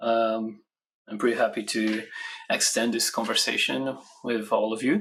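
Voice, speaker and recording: This man speaks with a Brazilian accent. His pace is moderate. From Brazil, Rio de Janeiro. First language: Portuguese. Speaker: software standards engineer, conference speaker. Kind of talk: conference talk. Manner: hesitant, many fillers.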